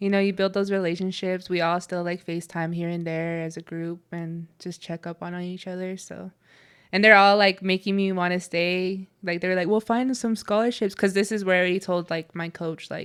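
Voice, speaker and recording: In a very clean recording with a silent background, a woman with an American accent speaks at a moderate pace and a medium pitch. Her intonation is monotone and flat, while her loudness swings widely. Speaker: college athlete. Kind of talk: casual chat. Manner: casual, filler-heavy (like, yeah).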